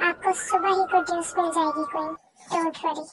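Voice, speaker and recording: A squeaky, put-on character voice in a monotone, flat delivery at a moderate pace. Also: woman, extremely high pitch for a woman. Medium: read story. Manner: deferential, eager.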